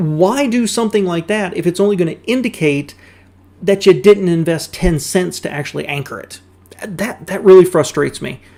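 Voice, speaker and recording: This man with a Southern US accent has a high pitch and a dark, mellow tone, speaking at a moderate pace with ordinary pitch variation and big swings in loudness. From US South. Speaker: car YouTuber reacting to videos. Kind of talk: casual reaction commentary.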